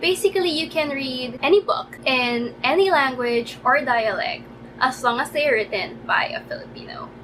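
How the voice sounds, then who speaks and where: The intonation is lively and the pace moderate. Background noise can be clearly heard. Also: woman, high pitch for a woman. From Philippines. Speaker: book reviewer. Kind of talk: casual talk to camera. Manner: stammering.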